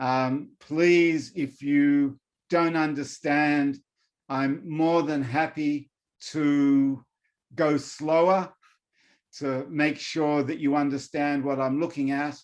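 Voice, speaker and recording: Against a quiet background, a man talks in an Australian accent at a fairly high pitch. His delivery is monotone and flat, at a very slow pace. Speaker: professor. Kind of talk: lecture. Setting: video call.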